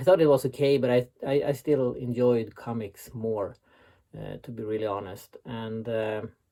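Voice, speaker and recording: A man with a Swedish accent speaks at a fairly slow pace in a dark, mellow tone, with a medium pitch and ordinary pitch variation. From Sweden. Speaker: website founder and author. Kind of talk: recorded interview answers. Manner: hesitant, many filler sounds.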